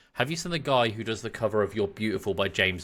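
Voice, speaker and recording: On a very clean recording with a silent background, a man with an English accent speaks in a bright, sharp tone at a fairly low pitch. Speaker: podcast co-host. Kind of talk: casual chat.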